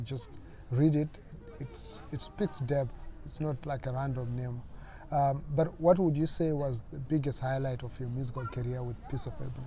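A man's fairly high voice, a normal speaking voice, at a moderate pace with fairly even intonation. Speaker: interviewer, show host. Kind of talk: interview. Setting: in-person interview.

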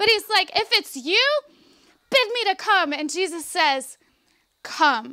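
Against a quiet background, a woman uses a raised, projected voice at an extremely high pitch, with very wide pitch swings and a bright, sharp, animated tone. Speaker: preacher delivering a sermon. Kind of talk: Baptist revival sermon; preaching to a congregation. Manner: conversational, animated, emphatic. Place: tent. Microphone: handheld.

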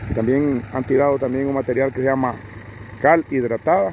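The man's voice sounds dry with no echo as he speaks at a fairly slow pace, with light background noise behind him. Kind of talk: descriptive commentary. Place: open country. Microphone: phone near.

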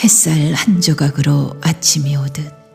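A woman's very deep, low voice, very slow and calm, soothing, with music in the background. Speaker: poetry reciter. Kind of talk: poetry reading.

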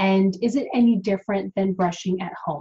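A somewhat breathy, dark, mellow tone at a moderate pace over a quiet background. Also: woman. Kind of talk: informational explainer vlog. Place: home room. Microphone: webcam.

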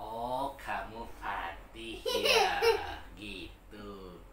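Loud background noise runs under this recording. A man talks at a very slow pace. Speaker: storyteller. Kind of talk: storytelling to a child. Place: home room. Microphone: camera far.

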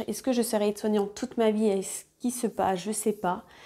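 A woman speaks at medium pitch in a dark, mellow tone. Her intonation is monotone and flat, and the background is quiet. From France, Côte-d'Or (Burgundy). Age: 30s. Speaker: sewing YouTuber; sewing youtuber. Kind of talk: casual vlog monologue. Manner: hesitant, many fillers. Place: home room. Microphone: lapel.

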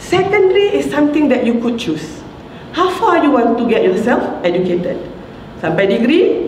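In a Malaysian accent, a woman speaks fairly slowly at a high pitch with very wide pitch swings, audible room echo, and light background noise. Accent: Malaysian English and Malay, code-switching. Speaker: professor. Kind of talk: motivational talk. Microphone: handheld.

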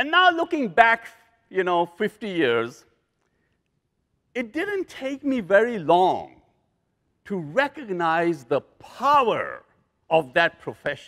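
A man talks slowly in a bright, sharp tone at a high pitch. His pitch swings very widely.

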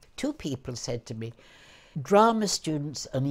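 Rather slowly, a woman talks. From London. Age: 80s+. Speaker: actress. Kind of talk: interview answer. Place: home room. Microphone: lapel.

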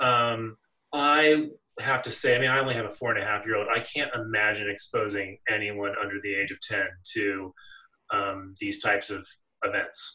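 A quiet background and a man keeping a moderate pace. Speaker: activist. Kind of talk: panel discussion. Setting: video call. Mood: earnest, opinionated. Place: home room. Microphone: video call.

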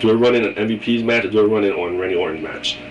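There is noticeable background noise. The talking goes along at a fairly quick pace. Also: man. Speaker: wrestling vlogger. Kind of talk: casual video monologue with predictions. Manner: animated, opinionated fan.

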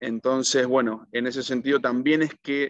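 Speaking at a fairly slow pace, a man has a medium pitch. The background is quiet and the sound is dry with no echo. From Argentina. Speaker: accountant and economic analyst; economic analyst. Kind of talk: interview answer, economic analysis. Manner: hesitant, frequent fillers (eh, digamos). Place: home room. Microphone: video call.

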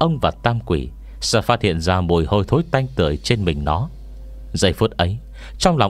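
A passage is read aloud in a plain manner.

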